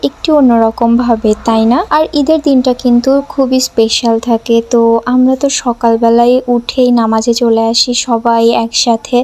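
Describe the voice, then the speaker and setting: This is a woman speaking with a high pitch. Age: young. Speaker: vlogger. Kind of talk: casual vlog narration.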